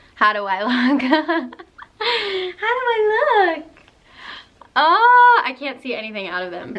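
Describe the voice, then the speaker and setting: With noticeable background noise behind her, a woman speaks in an upbeat tone. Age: 20s. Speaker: college student. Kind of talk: casual vlog talk to camera.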